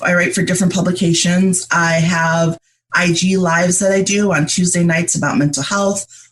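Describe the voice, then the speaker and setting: Somewhat breathy and fairly low-pitched, a woman speaks at a moderate pace with fairly even intonation and very even loudness. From upstate New York, US. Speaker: writer and mental health advocate. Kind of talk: interview.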